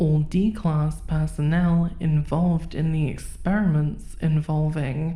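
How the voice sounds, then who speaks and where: Very slow and somewhat breathy, a woman's voice sits very deep and low with a dark, mellow tone. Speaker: horror narrator. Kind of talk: SCP document readout.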